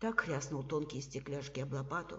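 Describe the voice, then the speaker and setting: A woman speaks at a moderate pace in a very deep, low voice. She sounds somewhat breathy, with ordinary pitch variation. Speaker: psychologist and trainer. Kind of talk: literary reading of a short story, reading competition entry. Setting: home recording for a reading contest.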